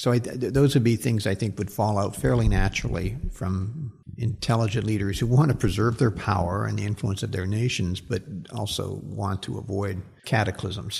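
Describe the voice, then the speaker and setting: Fairly low-pitched man with vocal fry, a moderate pace and ordinary pitch variation. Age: 60s. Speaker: social science professor. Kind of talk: interview. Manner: halting, many repeated words.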